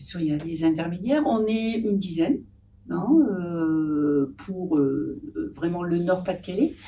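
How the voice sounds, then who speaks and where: A dark, mellow tone at a fairly slow pace. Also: woman, fairly low pitch for a woman. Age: 70s. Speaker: patient association volunteer. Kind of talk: podcast interview. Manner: hesitant, many fillers.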